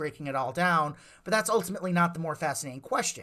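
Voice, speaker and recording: With an American accent and lively intonation, a man speaks at a high pitch in a very clean recording with a silent background. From Lake Geneva, Wisconsin. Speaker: mind reader and entertainer. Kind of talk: casual interview chat.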